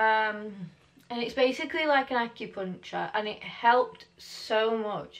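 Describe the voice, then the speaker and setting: A woman with an English accent speaks at a fairly slow pace, her fairly high pitch moving with ordinary variation. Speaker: mummy vlogger. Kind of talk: casual vlog talk to camera. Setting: daughter's bedroom.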